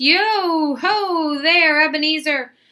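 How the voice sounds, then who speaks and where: An extremely high pitch marks this voice. It is a woman doing a put-on character voice. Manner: jovial, booming.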